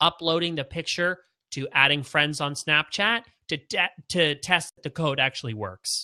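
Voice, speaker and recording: A man speaks at a fairly high pitch with a bright, sharp tone and ordinary pitch variation. His moderate-paced speech has big swings in loudness, in a dry, close sound with no echo. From Canada. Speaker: branding expert. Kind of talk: webinar Q&A.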